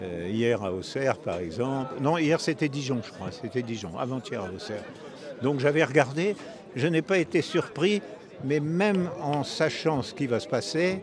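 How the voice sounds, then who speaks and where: Pitched fairly high, a man speaks at a fairly slow pace with very wide pitch swings. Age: 90s. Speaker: retired Olympic fencer. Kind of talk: interview. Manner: halting, many hesitations.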